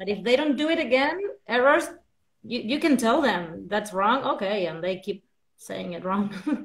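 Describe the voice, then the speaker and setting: A woman speaks in a fairly high, somewhat breathy voice with very wide pitch swings. The background is quiet. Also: moderate pace. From Argentina. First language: Spanish. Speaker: English teacher and researcher; English teacher. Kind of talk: casual interview chat. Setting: live video call. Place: home room. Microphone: video call.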